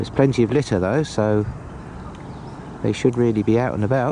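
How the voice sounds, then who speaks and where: A man talks at a moderate pace in a fairly low pitch. His pitch variation is ordinary, and there is noticeable background noise. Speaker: walking vlogger. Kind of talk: travel vlog narration. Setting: outdoors.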